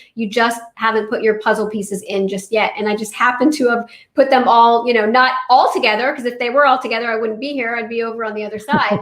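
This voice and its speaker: Speaking very fast with hardly any pauses, a woman with a fairly high pitch talks over noticeable background noise. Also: fairly even intonation. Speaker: spiritual author and medium. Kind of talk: interview.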